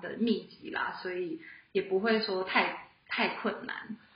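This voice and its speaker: A woman speaks at a very slow pace. Noticeable background noise and audible room echo fill the recording. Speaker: film production graduate. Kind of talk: casual chat. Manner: low energy. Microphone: too far from the mic.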